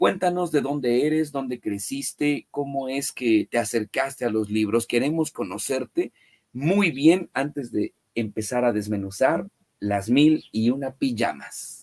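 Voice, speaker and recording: Lively in intonation, a man with a plain, everyday voice speaks at a medium pitch and a fairly slow pace, with a dry, close sound with no echo. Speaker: book channel host, interviewer. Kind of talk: interview.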